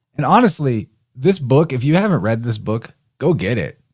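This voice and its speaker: At a moderate pace, a man with a medium pitch speaks in very wide pitch swings. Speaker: audiobook narrator.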